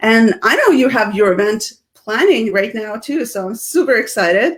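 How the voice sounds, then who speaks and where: In a Russian accent, a woman speaks at a moderate pace with a fairly high pitch, an animated tone and lively intonation. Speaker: speaking coach and business founder. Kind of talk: casual interview chat on live video. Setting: live video stream.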